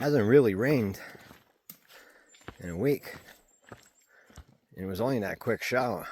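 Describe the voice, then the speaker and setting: His pitch sits in the medium range for a man, and it shifts in an ordinary way as he speaks. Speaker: thru-hiker vlogger. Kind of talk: casual vlog narration. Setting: outdoors on hiking trail.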